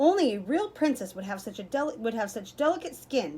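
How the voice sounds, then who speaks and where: A woman puts on a character voice, pitched fairly high and delivered at a fairly quick pace. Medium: read story. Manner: haughty, judgmental.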